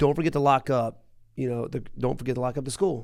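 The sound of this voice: A man speaks at a fast pace and medium pitch, his slightly mellow tone touched with vocal fry.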